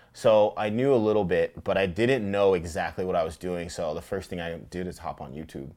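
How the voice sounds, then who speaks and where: Here a man speaks at a moderate pace with a fairly low pitch. He has a plain, everyday voice. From Tacoma, Washington, US Pacific Northwest. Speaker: fly fisherman and outdoor advocate. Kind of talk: casual interview. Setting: outdoors on a beach.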